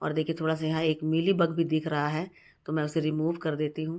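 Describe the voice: In a slightly mellow tone, a woman with a low pitch speaks fairly quickly and in a monotone, flat intonation.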